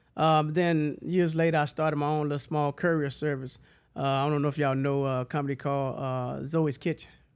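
Over a very clean recording with a silent background, a man with a Southern US accent speaks at a fairly quick pace, fairly high in pitch and monotone, flat in intonation. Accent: Southern American. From Huntsville, Alabama. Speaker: cleaning company owner. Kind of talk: casual chat.

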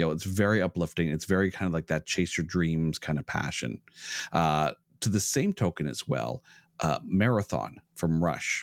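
A man with a Canadian accent speaks at a moderate pace in a very deep, low voice with lively intonation. The sound is dry and close with no echo. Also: very clean recording, silent background. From Ontario, Canada (Ottawa). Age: 40s. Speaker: podcaster and musician. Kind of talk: casual chat.

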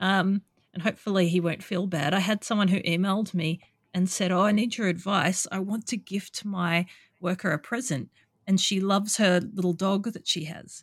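On a very clean recording with a silent background, a woman with an Australian accent speaks at a moderate pace. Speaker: podcast host and escort. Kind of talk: casual interview chat.

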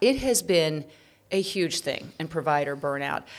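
In a very clean recording with a silent background, a woman talks in an ordinary speaking voice, fairly low in pitch, with ordinary pitch variation. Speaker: podcast host. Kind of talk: interview hosting. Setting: studio.

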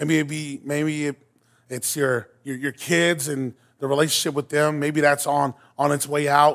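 In a very clean recording with a silent background, a man with a fairly high pitch speaks fairly slowly, his intonation fairly even. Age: 30s. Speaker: guest preacher. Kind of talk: sermon. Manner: halting.

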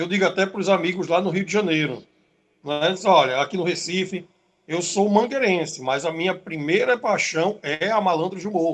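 High pitch from a man, at a moderate pace and with ordinary pitch variation. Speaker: samba school league president. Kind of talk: radio interview. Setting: remote call into radio show.

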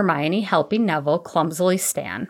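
The text is read aloud in a natural voice. Its pitch shifts in an ordinary manner.

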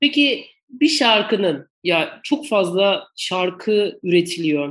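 The pitch here is medium. It belongs to a female speaker. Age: 40s. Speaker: podcast host, works in music rights management. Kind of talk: interview. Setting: video call.

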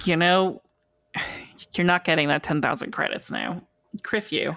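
A raspy, female-sounding put-on character voice at a middle pitch and moderate pace. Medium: actual play. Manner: teasing, bickering, then wistful.

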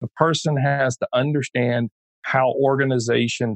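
At a medium pitch and moderate pace, a man speaks in a normal speaking voice with ordinary pitch variation. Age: 50s. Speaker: ADHD coach. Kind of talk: interview conversation.

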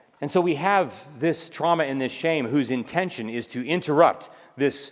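A man with fairly high pitch speaks in an ordinary speaking voice at a fairly slow pace, with ordinary pitch variation. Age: 50s. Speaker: psychiatrist and speaker. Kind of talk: lecture.

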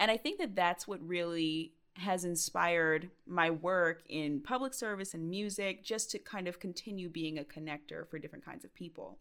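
A woman with an American accent, a plain, everyday voice, fairly low in pitch with ordinary pitch variation, big swings in loudness, a moderate pace and hardly any pauses. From US South, Georgia (Stone Mountain). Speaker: singer and spoken word artist. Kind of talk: interview.

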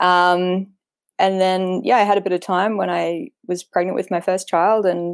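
A woman's medium-pitched voice with an Australian accent, dry and close with no echo. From Australia, Queensland. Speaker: author. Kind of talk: casual chat.

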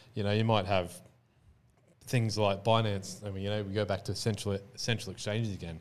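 With an Australian accent, a man talks fairly quickly in a flat, monotone delivery. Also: fairly low pitch for a man. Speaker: crypto entrepreneur and former Muay Thai fighter. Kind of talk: casual interview chat. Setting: studio.

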